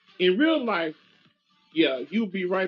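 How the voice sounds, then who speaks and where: Over noticeable background noise, the voice moves at a fairly slow pace with lively intonation. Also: man. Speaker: gaming YouTuber. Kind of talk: gameplay commentary. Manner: casual, repetitive phrasing.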